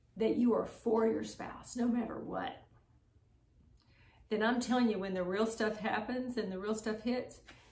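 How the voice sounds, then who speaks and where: A woman speaks with a fairly high pitch and monotone, flat intonation, leaving long, frequent pauses. Audible room echo surrounds her voice. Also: moderate pace. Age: 60s. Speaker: married couple sharing marriage advice. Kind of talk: casual chat.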